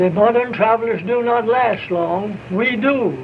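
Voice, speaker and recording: A man's extremely high voice with an American accent, at a fairly slow pace, with audible room echo and noticeable background noise. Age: 80s+. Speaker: traveling salesman. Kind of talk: staged conversation for newsreel.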